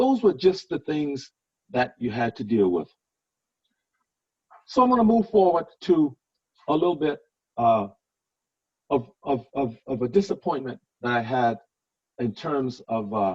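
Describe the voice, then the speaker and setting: A man at medium pitch speaks at a fairly slow pace, somewhat breathy, with very wide pitch swings. Long pauses come often. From Louisiana. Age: 60s. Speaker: politician and former police officer. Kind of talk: talk to a club meeting.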